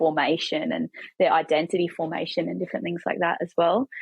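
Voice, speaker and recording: A woman talks at a fairly quick pace. She has a New Zealand accent. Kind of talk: casual chat.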